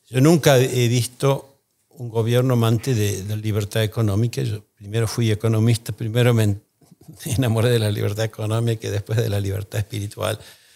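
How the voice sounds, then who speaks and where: A man speaks at a fairly quick pace with a dark, mellow tone. His intonation stays fairly even. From Argentina. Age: 60s. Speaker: economist, think tank founder; podcast guest. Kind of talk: interview. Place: studio. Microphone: studio mic.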